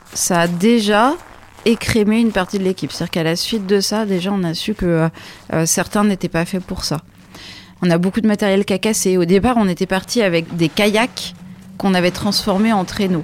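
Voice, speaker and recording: A woman's plain, everyday voice at medium pitch, moderate in pace, with fairly even intonation. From France, Champagne (Troyes). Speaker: sailor and expedition leader. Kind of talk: storytelling interview.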